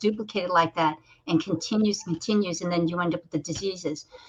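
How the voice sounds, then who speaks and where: An unremarkable speaking voice, this woman's fairly low pitch carries fairly even intonation at a fairly quick pace. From United States (born in Korea). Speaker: talk show host. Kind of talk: casual interview chat.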